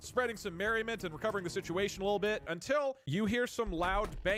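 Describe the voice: The speaker is engaged in plain reading aloud.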